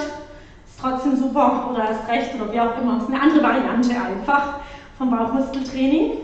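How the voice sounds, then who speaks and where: High-pitched female speech at a moderate pace with ordinary pitch variation and strong room echo. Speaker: fitness instructor. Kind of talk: exercise class instruction. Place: gym.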